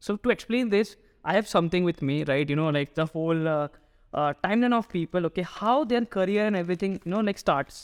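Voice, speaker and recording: A man speaks at a high pitch and a fairly quick pace, with ordinary pitch variation. The recording is very clean, with a silent background. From Northeast India. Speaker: startup founder. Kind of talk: interview conversation. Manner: hesitant, frequent fillers.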